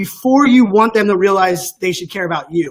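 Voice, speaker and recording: The speaker is a man with a high pitch. He talks at a very fast pace with ordinary pitch variation. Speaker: tech speaker and influencer. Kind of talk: interview conversation.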